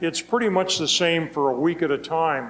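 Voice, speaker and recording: A man with a high pitch and ordinary pitch variation speaks at a fairly slow pace amid noticeable background noise. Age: 80s+. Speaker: retired solo sailor. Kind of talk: Q&A after a talk. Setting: talk in front of an audience.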